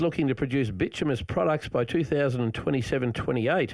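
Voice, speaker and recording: A man at medium pitch, talking at a very fast pace over noticeable background noise. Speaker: radio host. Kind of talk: radio interview. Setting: radio studio.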